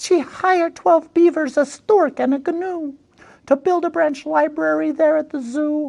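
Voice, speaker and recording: Her squeaky voice comes at a moderate pace, the woman heard in a dry, close sound with no echo. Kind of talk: picture book read-aloud. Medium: read story. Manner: warm, playful, chatty asides.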